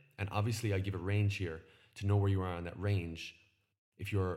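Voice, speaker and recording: Talking at a very fast pace with an Irish accent, a man uses a very deep, low pitch and fairly even intonation. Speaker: nutrition podcast host. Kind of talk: solo educational podcast. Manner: casual, conversational.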